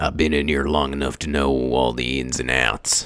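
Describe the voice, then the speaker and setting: Putting on a character voice, a man speaks raspy, very deep and low, in a flat monotone at a moderate pace. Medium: actual play. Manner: terse, gruff.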